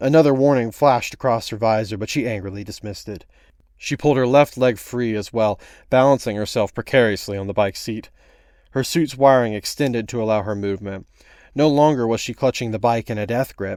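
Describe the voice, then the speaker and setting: This man has an unremarkable speaking voice, medium in pitch with ordinary variation. The recording is very clean, with a silent background. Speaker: voice actor. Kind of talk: read short story narration.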